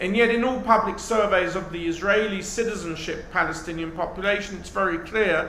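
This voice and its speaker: With a British accent, a man speaks in a raised, projected voice at a high pitch and a fairly quick pace, keeping his intonation fairly even, amid noticeable background noise and audible room echo. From England, North London. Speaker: professor. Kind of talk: lecture.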